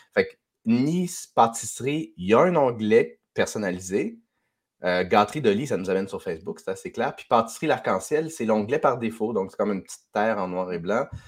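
Captured in a very clean recording with a silent background, a man at medium pitch speaks at a moderate pace with lively intonation and big swings in loudness. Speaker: podcast host. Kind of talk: casual chat. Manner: halting.

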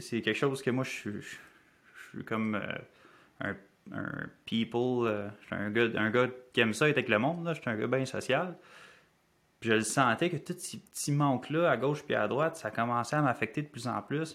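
A man with a Quebec accent speaks at a medium pitch, leaving long, frequent pauses. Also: ordinary pitch variation, moderate pace. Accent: Québécois French. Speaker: life habits coach. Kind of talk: podcast interview.

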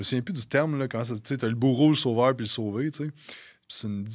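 A man of medium pitch in a Quebec accent talks at a fairly quick pace with ordinary pitch variation on a very clean recording with a silent background. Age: 30s. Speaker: fitness coaching business owner. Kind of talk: casual chat.

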